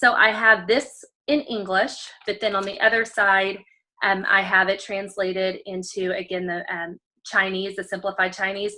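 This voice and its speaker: A woman speaks at a moderate pace in a medium pitch. Her tone is bright and sharp, and her intonation is fairly even. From Texas, College Station area. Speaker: special education teacher. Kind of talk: show-and-tell demo on video call. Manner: many filler ums.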